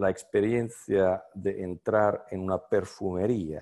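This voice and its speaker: A man with an Italian accent speaks in a very deep, low pitch with a dark, mellow tone. His intonation is fairly even, and the background is quiet. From Italy. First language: Italian (speaking Spanish). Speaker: semiotics scholar; speaker. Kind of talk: lecture. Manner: halting, many fillers. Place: home room. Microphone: video call.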